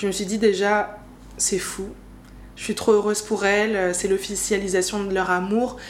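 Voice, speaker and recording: A woman of medium pitch talks monotonously and flatly at a fairly slow pace, with long, frequent pauses and audible room echo. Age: 20s. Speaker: podcast host. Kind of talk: personal monologue. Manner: casual, hesitant with fillers.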